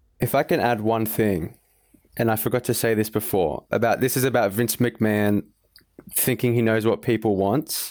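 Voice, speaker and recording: An unremarkable speaking voice from a man, medium in pitch, at a moderate pace, with fairly even intonation and very even loudness. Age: young. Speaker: wrestling fan panelist. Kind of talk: casual chat. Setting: remote call.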